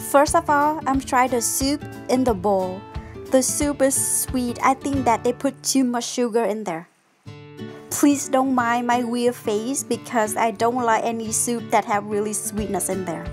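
A woman at a fairly slow pace with ordinary pitch variation over clear music in the background. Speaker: food reviewer. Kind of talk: casual vlog chat. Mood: disappointed by sweet soup. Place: cafe. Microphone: phone near.

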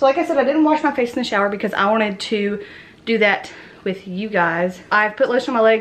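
Speaking fairly quickly, a woman carries the clip. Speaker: vlogger. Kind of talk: casual vlog chat. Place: home room. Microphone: phone near.

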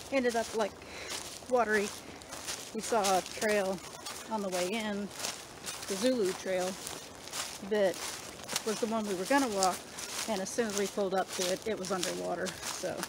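Long, frequent pauses break up the speech, which has a dry sound with no echo and noticeable background noise. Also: moderate pace. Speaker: travel vlogger. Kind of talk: casual vlog chat. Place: forest. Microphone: phone near.

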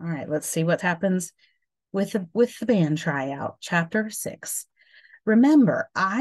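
An unforced reading voice with lively intonation comes through against a quiet background.

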